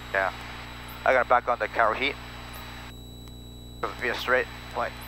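A man at a moderate pace, dry with no echo, amid noticeable background noise. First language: not English. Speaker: private pilot. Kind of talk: casual cockpit talk with passenger. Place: plane. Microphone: headset.

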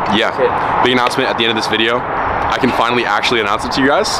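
Loud background noise dominates the clip. Through it, a man talks. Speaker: fitness vlogger. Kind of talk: casual vlog chat. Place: street. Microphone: phone near.

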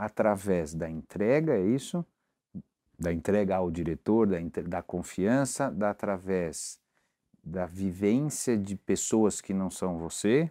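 A man speaks very slowly in a dark, mellow tone at a fairly low pitch, with ordinary pitch variation against a quiet background. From Brazil. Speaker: interviewer, talk show host. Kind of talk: interview. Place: office. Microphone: lapel.

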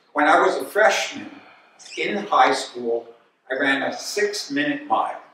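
Strong room echo and light background noise surround a man speaking fairly slowly with an American accent. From Albany, New York; New York. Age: old. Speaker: retired physiology professor and former runner; guest lecturer. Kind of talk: lecture. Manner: halting. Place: hall. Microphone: camera far.

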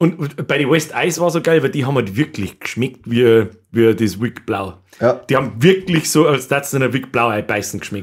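At a moderate pace with hardly any pauses, the speaker uses lively intonation against a quiet background. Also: man. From Bavaria. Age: 30s. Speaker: podcast host. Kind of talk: casual chat. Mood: joking, animated. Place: studio. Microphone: studio mic.

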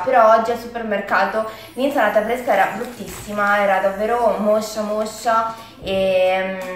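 At a fairly slow pace, a woman speaks with ordinary pitch variation over light background noise and audible room echo. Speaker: food vlogger. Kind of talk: casual vlog chat. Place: kitchen. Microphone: camera far.

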